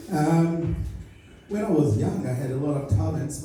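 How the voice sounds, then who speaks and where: Over noticeable background noise and audible room echo, a man with a Portuguese-speaking African accent speaks at a moderate pace with ordinary pitch variation. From Angola. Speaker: stand-up comedian. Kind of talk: stand-up. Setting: stage with audience. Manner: halting.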